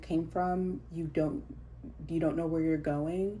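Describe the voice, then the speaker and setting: A woman's very deep, low voice with a dark, mellow tone, at a fairly slow pace, with audible room echo. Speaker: tarot reader. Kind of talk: tarot reading. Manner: halting, many fillers.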